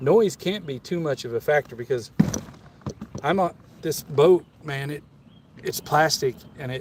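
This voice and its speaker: A man with an American accent speaks at a moderate pace, with long, frequent pauses and noticeable background noise. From Kansas. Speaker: fishing livestreamer. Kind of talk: casual live stream chat. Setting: outdoors on a small boat on a river. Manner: casual, with stammers and restarts.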